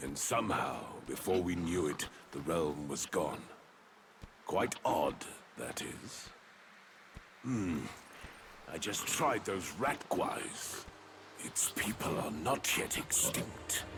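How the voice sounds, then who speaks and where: Against clear background noise, a man in a put-on character voice speaks with a very deep, low pitch at a very slow pace, leaving long, frequent pauses. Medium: video game. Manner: musing, hums to himself.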